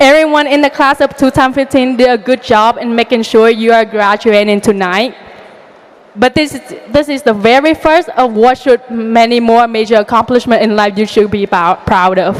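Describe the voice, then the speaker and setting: A woman with a fairly high pitch talks at a moderate pace while noticeable background noise carries on. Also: ordinary pitch variation. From outside the US. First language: not English. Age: young. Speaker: valedictorian student. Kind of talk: graduation speech.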